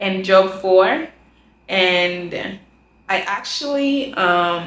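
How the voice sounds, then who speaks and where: The woman's voice sits at a medium pitch. Some echo from the room can be heard. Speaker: student vlogger. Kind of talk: casual vlog monologue.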